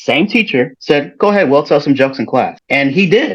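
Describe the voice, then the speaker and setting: With an ordinary speaking voice, a man speaks at a fairly quick pace and a fairly high pitch. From Chicago, US Midwest. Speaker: educator and performer. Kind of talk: interview. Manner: some repetitions and self-corrections.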